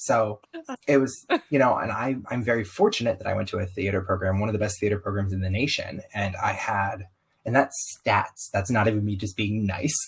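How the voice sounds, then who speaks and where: A somewhat breathy man with an American accent, fairly low in pitch, at a fairly quick pace. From US South. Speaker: circus performer, podcast guest. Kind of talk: interview conversation. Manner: animated.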